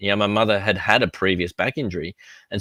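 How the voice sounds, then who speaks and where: Man with an Australian accent, fairly low pitch, bright, sharp tone and very fast pace, dry and close with no echo on a very clean recording with a silent background. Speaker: physical therapist and safety tech founder. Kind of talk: interview. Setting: live stream.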